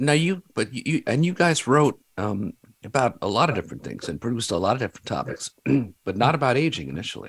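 The delivery is very fast, with very wide pitch swings. Vocal fry runs through it. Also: man, medium pitch for a man. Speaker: radio show host. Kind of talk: casual interview. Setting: talk radio studio.

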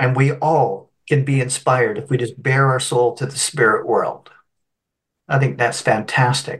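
A man speaks at a fairly slow pace with a somewhat breathy voice and fairly even intonation. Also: medium pitch for a man. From Canada (Scottish-born, moved at three). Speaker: spiritual medium and minister. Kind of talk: interview storytelling. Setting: video call.

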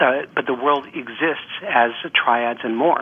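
A man's voice with noticeable background noise. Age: 60s. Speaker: couples therapist. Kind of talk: interview. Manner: halting.

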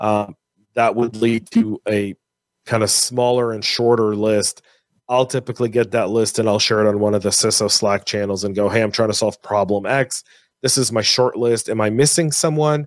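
Recorded very cleanly against a silent background, with dry, close sound and no echo, a man speaks at a moderate pace and medium pitch with fairly even intonation. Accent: American. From US, San Francisco Bay Area. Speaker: cybersecurity executive and podcaster. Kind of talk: casual interview. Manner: halting, repeats words.

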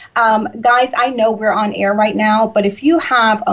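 At a moderate pace, a woman with a Southern US accent speaks in a fairly high voice. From US South, Georgia. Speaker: radio talk show host. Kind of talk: interview. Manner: warm, repetitive and enthusiastic; laughs often.

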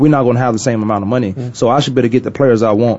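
A man speaks with fairly even intonation. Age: 30s. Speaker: radio sports talk host. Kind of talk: casual chat. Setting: studio.

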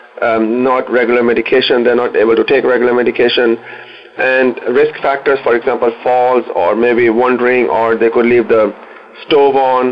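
This is a man talking at a moderate pace. There is noticeable background noise behind him. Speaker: social worker in elder care. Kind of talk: radio interview.

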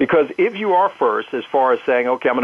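A man uses a normal speaking voice. He goes at a fairly quick pace with lively intonation. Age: 50s. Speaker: marketing professor. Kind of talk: interview.

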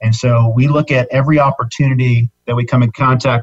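Somewhat breathy, a man talks at a fairly quick pace with fairly even intonation in a dry, close sound with no echo. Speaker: business owner. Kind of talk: casual interview chat.

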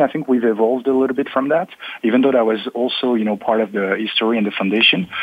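A man speaks at a medium pitch in a French accent. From eastern France near German border. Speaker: automation technology consultant. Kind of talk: panel discussion. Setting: remote call from Paris.

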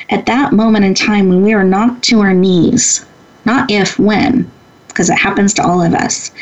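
A woman with a medium pitch talks at a moderate pace with ordinary pitch variation and very even loudness over noticeable background noise. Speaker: women's empowerment leader and entrepreneur. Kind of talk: interview. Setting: radio studio.

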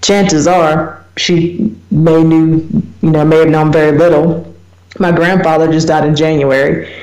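A woman with an American accent, a very deep, low pitch, monotone, flat intonation, very even loudness and a fairly slow pace, over noticeable background noise. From US small town. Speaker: radio talk show host. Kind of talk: solo radio talk on research topic. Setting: internet radio show.

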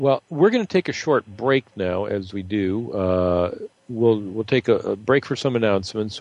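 Delivered at a moderate pace with ordinary pitch variation, this is a plain, everyday voice with an American accent. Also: man. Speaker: radio host. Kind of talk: interview, conversational.

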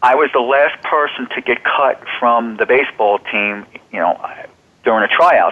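This is a man with an American accent in a normal speaking voice, at a medium pitch. He keeps a moderate pace with ordinary pitch variation. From central New Jersey. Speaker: self-help author and human potential specialist. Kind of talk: interview.

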